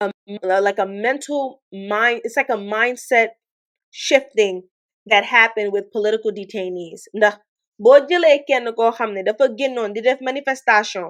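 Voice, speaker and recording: A woman with a Senegalese accent speaks at a moderate pace against a quiet background. Her pitch is fairly high, with ordinary variation. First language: Wolof. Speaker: online commentator. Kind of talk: livestream commentary. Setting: livestream. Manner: code-switching English and Wolof.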